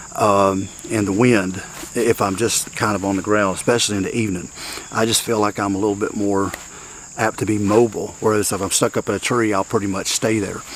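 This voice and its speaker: A man with a fairly low pitch speaks fairly quickly in a monotone, flat intonation, with noticeable background noise. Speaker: bowhunter. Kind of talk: outdoor vlog. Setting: outdoors in the woods. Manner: hesitant, filler-heavy.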